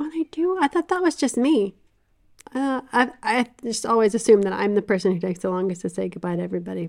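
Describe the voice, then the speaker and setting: A woman at a very fast pace, fairly high in pitch, with very wide pitch swings. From US South. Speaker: podcast co-host, book discussion. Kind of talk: casual chat about a book.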